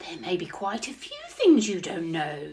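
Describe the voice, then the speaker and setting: A woman puts on a character voice at a medium pitch and a moderate pace. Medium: read story.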